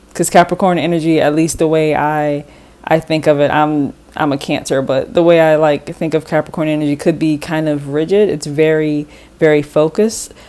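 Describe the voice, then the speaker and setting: Her voice is very deep and low for a woman, with a dark, mellow tone and a moderate pace. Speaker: tarot reader. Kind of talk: tarot reading. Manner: halting, self-correcting; casual, conversational.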